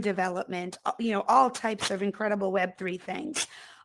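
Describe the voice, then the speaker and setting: A woman with a Boston accent at medium pitch. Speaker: talk show host. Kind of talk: casual talk show chat. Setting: VR talk show with live audience. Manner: many filler words, um and uh.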